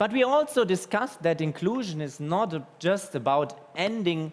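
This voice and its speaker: The man's voice sits high in pitch and moves with lively intonation. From Germany. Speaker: inclusion advocate and speaker. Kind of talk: speech.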